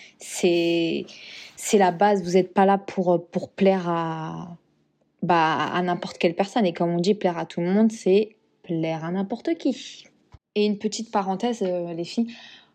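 A woman speaks fairly slowly at a medium pitch, with a dark, mellow tone. Her intonation stays fairly even. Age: 30s. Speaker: podcast host. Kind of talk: solo motivational podcast monologue. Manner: hesitant, many fillers and repetitions.

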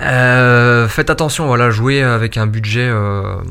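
A man with an unremarkable speaking voice, medium pitch and fairly even intonation. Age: 20s. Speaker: fantasy football player. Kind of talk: interview. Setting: office.

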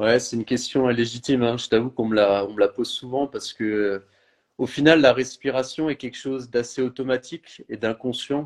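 A man talks at a medium pitch with fairly even intonation. The sound is dry and close, with no echo. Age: 30s. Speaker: holistic health coach. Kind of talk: interview. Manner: slow.

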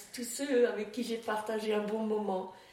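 There is audible room echo as a woman speaks at a fairly high pitch. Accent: Alsatian. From Alsace, France. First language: Alsatian (speaking French). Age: 80s+. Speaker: elderly storyteller sharing memories. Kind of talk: personal reminiscence interview. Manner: halting, with many hesitations and repetitions.

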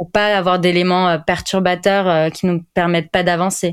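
A woman speaks in a fairly low pitch. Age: 20s. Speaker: clinical psychologist. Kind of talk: casual interview. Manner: hesitant, many fillers.

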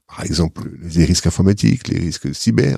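At a fairly quick pace, a man with a dark, mellow tone and ordinary pitch variation speaks in a dry, close sound with no echo. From Sarthe, France. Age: 60s. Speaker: bank risk manager. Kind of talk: interview.

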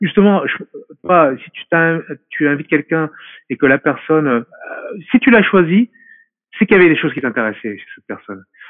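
A man's fairly quick, fairly high-pitched speech, with very wide pitch swings, big swings in loudness and long, frequent pauses. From France. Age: 40s. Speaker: martial arts specialist. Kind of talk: interview. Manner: halting.

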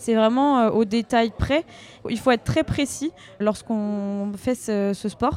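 A woman talks at a fairly slow pace with a fairly high pitch and fairly even intonation. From Brittany, France. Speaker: orienteering athlete. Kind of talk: interview. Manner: hesitant, many fillers.

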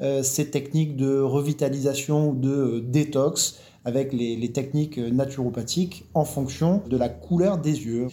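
Somewhat breathy, with a dark, mellow tone, a man speaks fairly slowly at a fairly high pitch with fairly even intonation. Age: 40s. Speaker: naturopath. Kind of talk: interview.

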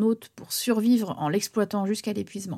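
Recorded very cleanly against a silent background, a woman uses a normal speaking voice with a fairly high pitch at a fairly slow pace. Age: 30s. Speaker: singer and podcaster. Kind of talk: personal testimony narration.

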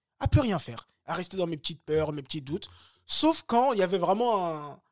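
Lively intonation marks this man's high-pitched voice at a moderate pace. The recording is very clean with a silent background. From Paris suburbs, France (Bagneux). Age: 30s. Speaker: former pro boxer and coach. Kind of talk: casual interview. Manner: hesitant with many fillers and repetitions.

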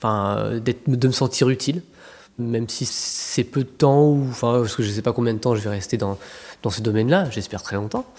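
A man's normal speaking voice at medium pitch, moderate pace and ordinary pitch variation, in a very clean recording with a silent background. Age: 40s. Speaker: trainee home care aide, former retail manager. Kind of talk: interview.

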